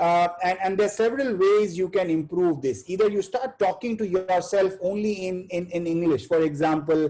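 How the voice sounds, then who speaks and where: With an Indian accent and a dark, mellow tone, a man talks at a moderate pace and high pitch, with ordinary pitch variation and hardly any pauses. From India, Bihar. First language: Hindi. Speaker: chartered accountant, webinar speaker. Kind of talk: webinar talk. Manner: halting, many fillers.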